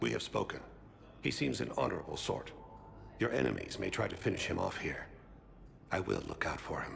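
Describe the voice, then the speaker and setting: A man's put-on character voice, very deep and low, at a fairly quick pace with long, frequent pauses over clear background noise. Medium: video game. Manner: calm, measured, formal.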